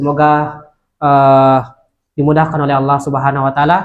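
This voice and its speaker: Moderate pacing from a man with a fairly high-pitched voice. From Indonesia, Central Sulawesi (Luwuk Banggai). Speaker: Islamic preacher. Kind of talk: religious talk to students. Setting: Islamic boarding school gathering. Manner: hesitant, many filler sounds.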